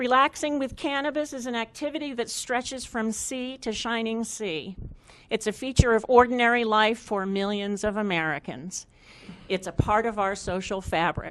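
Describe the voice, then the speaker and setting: Over a quiet background, a woman with a plain, everyday voice speaks at a moderate pace, her fairly high pitch carrying lively intonation. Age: 60s. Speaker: resident speaking at public hearing. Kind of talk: public comment. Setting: public hearing. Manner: formal.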